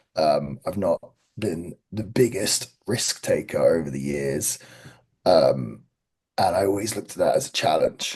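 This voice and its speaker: A man talks at a fairly slow pace. He has an English accent. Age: 30s. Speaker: pro wrestler. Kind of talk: podcast interview.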